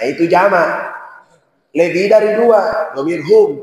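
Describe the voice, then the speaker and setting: A man talking at a very slow pace. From Sulawesi, Indonesia (born in Poso). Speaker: Islamic preacher. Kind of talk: sermon.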